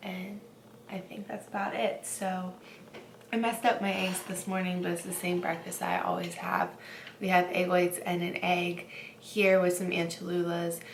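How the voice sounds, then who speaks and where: A woman speaks in a flat monotone with audible room echo and noticeable background noise. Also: medium pitch for a woman, moderate pace. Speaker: fitness vlogger, bikini competitor. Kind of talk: casual vlog.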